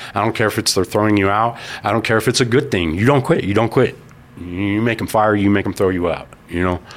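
A man with an American accent has an unremarkable speaking voice. His pitch is fairly low, with ordinary variation. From Colorado Springs, US. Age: 40s. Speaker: person in addiction recovery. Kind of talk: interview testimony.

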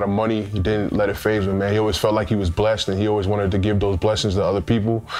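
A man with a New York accent and a fairly low pitch talks at a very fast pace. Audible room echo and noticeable background noise fill the recording. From US Northeast, Queens, New York. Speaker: former pro football player. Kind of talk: interview testimony.

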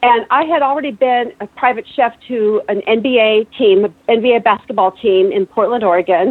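This woman has an ordinary speaking voice with a fairly high pitch. She keeps a moderate pace, ordinary pitch variation and very even loudness. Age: 50s. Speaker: chef and keto diet advocate. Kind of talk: casual call-in conversation. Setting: phone call.

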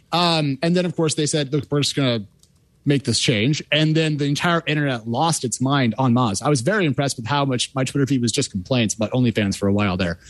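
A man talks at a very fast pace. The sound is dry and close with no echo, over a quiet background. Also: medium pitch for a man, lively intonation. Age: 30s. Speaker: tech reporter. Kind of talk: panel discussion. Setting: remote call.

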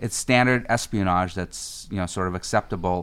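Here a man speaks at a fairly quick pace. His pitch is very deep and low. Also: very clean recording, silent background. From Russia, immigrated to US as a child. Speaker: cybersecurity executive. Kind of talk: interview. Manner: frequent fillers (uh, um).

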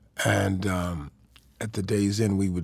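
Somewhat breathy, a man speaks with an American accent at a very deep, low pitch. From Chicago, Illinois. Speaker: drummer and music producer. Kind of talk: interview. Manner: casual, laughs often.

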